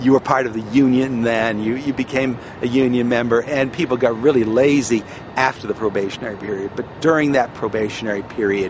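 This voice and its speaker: A man talks at a fairly quick pace, and noticeable background noise runs underneath. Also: medium pitch for a man. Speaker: former airline baggage handler. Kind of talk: casual talk to camera, personal oral history. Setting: outdoors.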